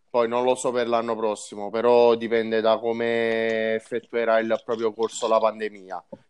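A man at a medium pitch, talking at a fairly slow pace. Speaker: motorsport journalist. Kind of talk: casual chat.

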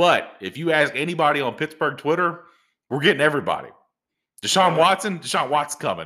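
Vocal fry runs through a man's fairly high voice. His tone is bright and sharp. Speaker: podcast host. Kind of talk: casual chat. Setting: recording at home.

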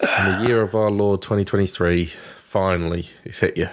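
Low male pitch at a moderate pace, fairly even intonation from a man.

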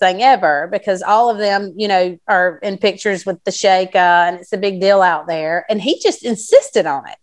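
A woman talks at a moderate pace in a Southern US accent. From South Carolina. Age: 40s. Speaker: entrepreneur. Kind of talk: interview.

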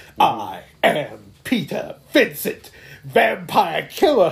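A man drags his words out very slowly in a put-on character voice. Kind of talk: theatrical. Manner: dramatic, pausing.

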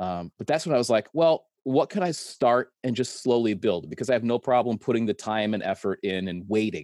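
A man with an unremarkable speaking voice and medium pitch talks with lively intonation in a dry, close sound with no echo, on a very clean recording with a silent background. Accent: American. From Connecticut. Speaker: construction worker and YouTuber. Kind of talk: casual chat.

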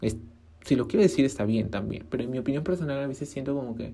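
Very deep and low in pitch, a woman speaks in a dark, mellow tone with vocal fry and lively intonation. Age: 20s. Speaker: podcaster and small fashion brand owner. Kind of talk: casual solo monologue.

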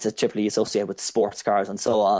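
The speaker talks at a very fast pace in an Irish accent. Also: man. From Ireland. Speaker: car detailing enthusiast. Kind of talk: casual interview chat.

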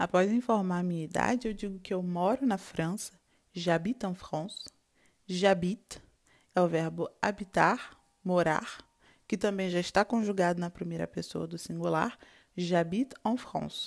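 On a very clean recording with a silent background, a woman talks in a normal speaking voice at a moderate pace with ordinary pitch variation. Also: medium pitch for a woman. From Brazil, Rio de Janeiro. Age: 20s. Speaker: language teacher. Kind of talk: tutorial.

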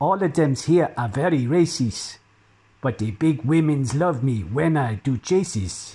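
In a very clean recording with a silent background, a man talks at a very slow pace with lively intonation. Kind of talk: comic satirical poem performed in a put-on accent. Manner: rhythmic, rhyming couplets delivered in a mock-pidgin voice.

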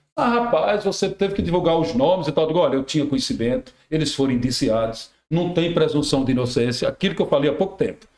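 A man with a fairly high pitch talks at a very fast pace with hardly any pauses. His pitch swings very widely while his loudness stays very even. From Rio Grande do Norte, Brazil. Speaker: radio and TV journalist. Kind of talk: casual chat.

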